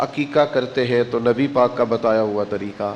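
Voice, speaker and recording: This is a man speaking at medium pitch. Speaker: Islamic preacher. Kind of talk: religious sermon (bayan). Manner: emotional, devotional.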